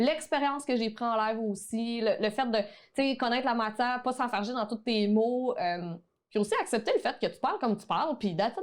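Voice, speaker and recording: Speaking at a moderate pace with a Quebec accent, a woman uses a high pitch and lively intonation. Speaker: online photography teacher. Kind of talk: podcast interview.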